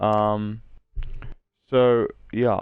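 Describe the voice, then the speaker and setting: This is a man's voice. It sits at a medium pitch. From South Africa. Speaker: video game streamer. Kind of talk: gaming tutorial. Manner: casual, hesitant with many fillers.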